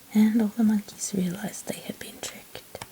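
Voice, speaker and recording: The voice is whispering at a moderate pace. Background noise is noticeable. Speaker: ASMR artist. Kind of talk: read story. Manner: whispered.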